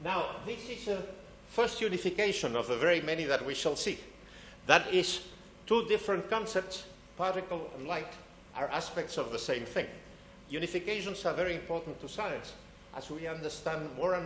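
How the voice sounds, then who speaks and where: High-pitched male voice at a moderate pace, lively intonation and long, frequent pauses, with audible room echo and noticeable background noise. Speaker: physics lecturer. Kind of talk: public science lecture.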